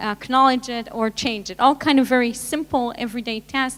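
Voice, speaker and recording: Talking fairly quickly in a fairly high pitch, a woman with a strong non-native accent keeps her intonation fairly even. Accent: thick foreign. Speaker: tech panelist. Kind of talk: panel discussion. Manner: halting.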